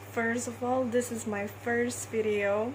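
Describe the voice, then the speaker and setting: A woman talks very slowly in a space with audible room echo and noticeable background noise. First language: not English. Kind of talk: testimony. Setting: recording herself on camera. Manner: halting.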